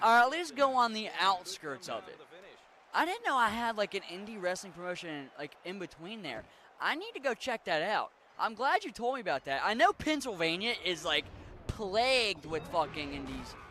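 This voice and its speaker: A man with an American accent speaks at a moderate pace in a high, bright and sharp voice, raised and projected. His pitch swings very widely and his loudness rises and falls a great deal. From western Maryland / Pittsburgh area. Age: 20s. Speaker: video game streamer. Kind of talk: casual gaming livestream chat. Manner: casual, profane.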